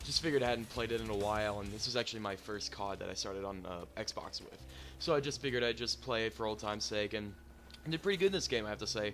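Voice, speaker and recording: Over background music, a man with a fairly low pitch talks at a very fast pace with lively intonation. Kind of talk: casual gaming commentary. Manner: hesitant, stuttering.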